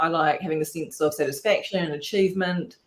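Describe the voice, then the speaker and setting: A woman with an Australian accent talks with ordinary pitch variation. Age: 40s. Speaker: rum distiller, distillery founder. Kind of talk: casual chat.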